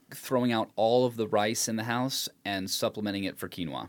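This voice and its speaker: In a plain, everyday voice, a man of medium pitch speaks at a moderate pace with lively intonation. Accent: American. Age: 30s. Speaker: podcast guest. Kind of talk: casual chat. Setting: home studio.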